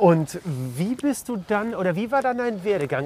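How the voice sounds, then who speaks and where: This man's voice swings very widely in pitch. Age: 50s. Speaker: podcast host. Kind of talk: casual interview. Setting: outdoors, walking. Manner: hesitant, many fillers.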